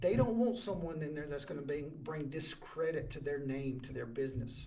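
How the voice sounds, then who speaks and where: Room echo is audible around a man with a fairly high, somewhat breathy voice. He speaks at a moderate pace with ordinary pitch variation. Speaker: job search advisor, livestream host. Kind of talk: livestream advice talk. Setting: live video stream. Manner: stammering.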